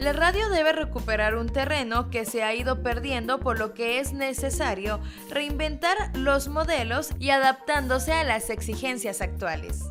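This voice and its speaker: A woman speaking with hardly any pauses over music in the background. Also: fairly slow pace. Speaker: narrator of a documentary about radio. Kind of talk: documentary narration.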